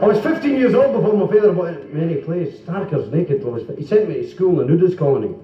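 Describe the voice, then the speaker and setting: Very fast speech comes from a man with an Edinburgh accent and very wide pitch swings. Noticeable background noise and audible room echo accompany him. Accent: Edinburgh Scottish. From Scotland, Leith, Edinburgh. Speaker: comedian. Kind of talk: stand-up. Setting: stage with audience.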